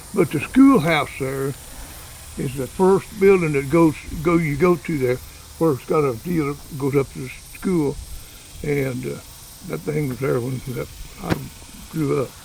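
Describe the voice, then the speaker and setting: Against noticeable background noise, a man with an American accent speaks at a fairly slow pace with a fairly high pitch, leaving long, frequent pauses. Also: ordinary pitch variation. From Oklahoma Panhandle. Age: 80s+. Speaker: local elder giving a town tour. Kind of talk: casual interview. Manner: halting, repetitive.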